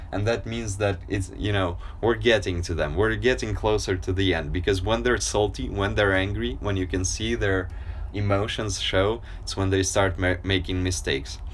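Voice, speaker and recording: A man with a very deep, low voice speaks at a moderate pace with lively intonation, audible room echo around him. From Ukraine, Kyiv. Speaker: livestreamer. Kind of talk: casual live stream chat. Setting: outdoors on a balcony.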